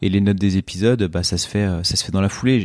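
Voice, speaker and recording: This very clean recording has a silent background. A man speaks at a fairly quick pace in a fairly low pitch. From eastern France, Ain (Oyonnax). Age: 30s. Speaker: podcaster and fashion entrepreneur. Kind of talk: interview conversation. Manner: hesitant, many fillers and repetitions.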